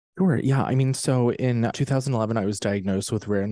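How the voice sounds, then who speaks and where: A man's dark, mellow tone with ordinary pitch variation, dry and close with no echo. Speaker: author and cancer survivor. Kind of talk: casual interview chat. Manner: animated.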